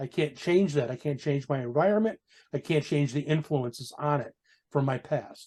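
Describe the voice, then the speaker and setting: This man's voice has a dark, mellow tone and is somewhat breathy, with a fairly high pitch. He speaks at a moderate pace with ordinary pitch variation. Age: 60s. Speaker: biker, motorcycle club member. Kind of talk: casual chat.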